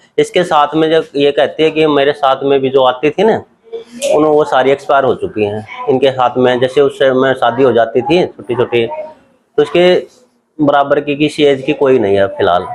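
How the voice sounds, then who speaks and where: Fairly high in pitch, a man speaks in a normal speaking voice at a moderate pace. His loudness stays very even, and his pitch varies in an ordinary way. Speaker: son of the elderly voter. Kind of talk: interview answer.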